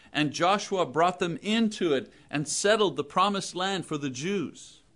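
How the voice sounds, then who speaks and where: The background stays quiet. A man delivers his words fairly slowly, his pitch moving in an ordinary way. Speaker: preacher. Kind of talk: sermon. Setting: church.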